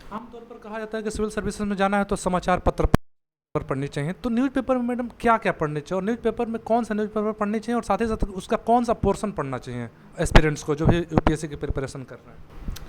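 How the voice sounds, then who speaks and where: Loudness swings widely, and the intonation is lively. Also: man, high pitch for a man. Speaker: news reporter. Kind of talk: interview questions.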